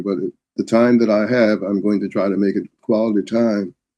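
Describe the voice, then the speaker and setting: A man talks fairly quickly in a fairly low pitch. His tone is dark and mellow. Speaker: retired professor and civil rights scholar. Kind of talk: interview. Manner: halting, many fillers.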